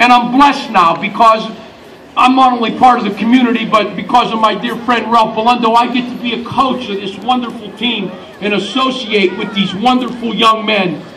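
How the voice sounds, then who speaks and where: A high-pitched man with an American accent, his voice raised and projected at a moderate pace, amid noticeable background noise and audible room echo. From western Pennsylvania, New Castle. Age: 60s. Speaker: master of ceremonies and high school basketball coach. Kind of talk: pep rally speech. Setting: outdoors at a riverside pep rally.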